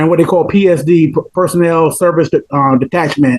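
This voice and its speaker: A man's high voice in a southern Georgia accent, with fairly even intonation and a dry, close sound with no echo. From US South, rural Georgia. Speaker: chemical dependency counselor. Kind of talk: casual interview chat.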